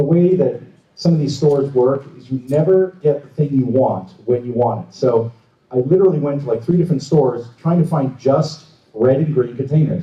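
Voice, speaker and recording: A man speaks at a moderate pace in a somewhat breathy voice. His pitch sits fairly high and varies an ordinary amount. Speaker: prop maker. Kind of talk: convention panel talk. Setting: stage with audience. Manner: mumbling.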